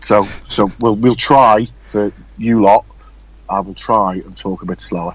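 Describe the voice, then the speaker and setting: Fairly even intonation marks this voice, which has an English accent. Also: man, fairly low pitch for a man. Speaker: RC car racing podcast host. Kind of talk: casual chat. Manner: fast.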